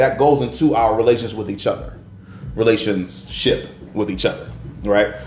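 A man's warm tone at a moderate pace, with music in the background. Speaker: faith-based podcast host. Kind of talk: casual faith discussion. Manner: warm, encouraging, preacher-like.

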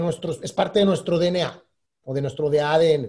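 With a dark, mellow tone, a man talks at a moderate speed. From Mexico, Durango. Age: 40s. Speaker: entrepreneur. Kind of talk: casual interview.

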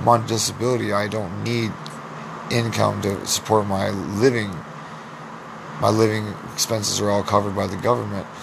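Over noticeable background noise and audible room echo, a man speaks at a moderate pace in a fairly low, monotone, flat voice with long, frequent pauses. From US Midwest (Iowa). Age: 20s. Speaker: podcast host. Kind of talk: solo monologue.

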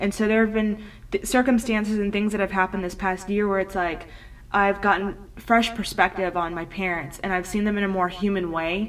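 With fairly even intonation and a medium pitch, a woman talks at a fairly quick pace. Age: 20s. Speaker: podcast host. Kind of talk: solo personal monologue. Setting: home recording at computer. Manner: earnest, with frequent fillers.

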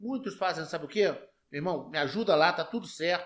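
With a pitch that sits high for a man, he rattles off his words at a very rapid clip. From Brasília, Federal District, Brazil. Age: 50s. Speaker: police officer and politician. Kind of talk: interview. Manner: direct.

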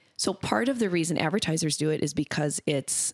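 With an American accent, a woman speaks at a very deep, low pitch in a dry, close sound with no echo. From US Upper Midwest (Minnesota). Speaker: brand marketing executive. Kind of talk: podcast interview. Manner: casual, filler-heavy.

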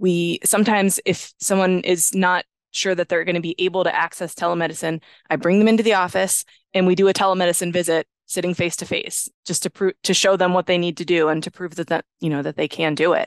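A woman speaks very fast in a fairly low pitch with an American accent and a monotone, flat delivery. The sound is dry and close with no echo, over a quiet background. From western Pennsylvania, US. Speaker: audiologist. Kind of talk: interview conversation.

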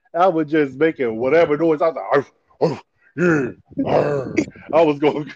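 A man at a fairly high pitch, moderate pace, fairly even intonation, and long, frequent pauses. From New Jersey (Paterson). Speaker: rapper. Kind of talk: casual interview.

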